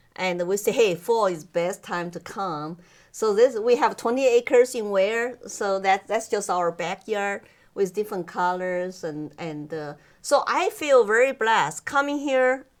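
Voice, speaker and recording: In a Chinese accent, a woman speaks at a fairly slow pace with lively intonation. Her pitch is medium, and the recording is very clean with a silent background. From China. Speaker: immigrant guest interviewee. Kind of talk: interview. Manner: halting, with many fillers.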